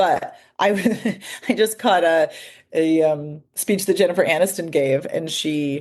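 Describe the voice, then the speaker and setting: Her speech, a woman's, comes in an American accent. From Northern California, Santa Cruz. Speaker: voice coach and author. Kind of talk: podcast interview.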